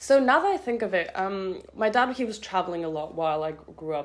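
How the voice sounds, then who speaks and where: With a German accent and lively intonation, a woman speaks at a fairly quick pace over noticeable background noise. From France, near Geneva; later Zurich. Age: young. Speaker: university student. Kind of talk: casual interview chat. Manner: hesitant, many fillers.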